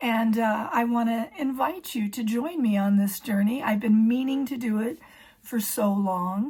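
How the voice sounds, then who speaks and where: Her voice is fairly high and somewhat breathy, and this woman speaks at a fairly slow pace with ordinary pitch variation. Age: 60s. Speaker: emergency room clerical worker. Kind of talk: casual talk to camera.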